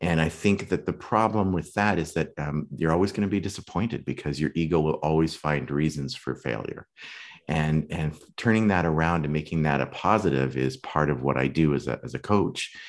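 Over a quiet background, a man speaks at a very deep, low pitch, gravelly and with vocal fry, showing ordinary pitch variation. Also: fairly quick pace. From Western Canada (Saskatoon). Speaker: acting coach. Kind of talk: interview conversation.

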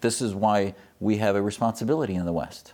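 With an American accent, a man in a plain, everyday voice talks at a moderate pace and a fairly low pitch. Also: very clean recording, silent background. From US Midwest, Wisconsin. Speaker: physician and activist. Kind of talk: interview.

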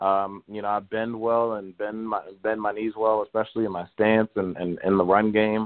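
A man with an American accent, fairly low pitch, flat monotone delivery and a moderate pace. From Baltimore, Maryland. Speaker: college football player. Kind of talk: casual interview.

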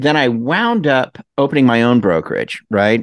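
A man at a medium pitch against a quiet background. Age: 60s. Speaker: mortgage industry marketer. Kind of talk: interview. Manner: animated; halting.

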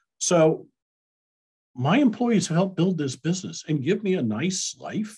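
A man speaks with an American accent and vocal fry. His pace is fairly slow. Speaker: payroll company president, Marine veteran. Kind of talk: interview. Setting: video call.

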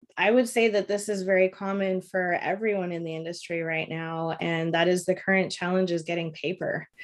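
A normal speaking voice from a woman with a Canadian accent, medium in pitch, fairly quick, with fairly even intonation and hardly any pauses. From Toronto, Ontario, Canada. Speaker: print sales account executive. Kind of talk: interview.

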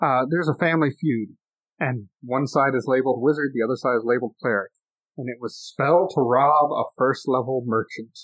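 A normal speaking voice at a fairly quick pace with fairly even intonation. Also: man, medium pitch for a man. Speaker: podcast host. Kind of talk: casual chat. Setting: home.

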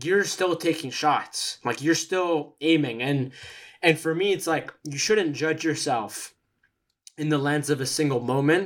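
On a very clean recording with a silent background, a man speaks in a plain, everyday voice. It is fairly high in pitch, with ordinary pitch variation, at a fairly slow pace. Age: 20s. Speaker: podcast guest. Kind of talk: casual chat.

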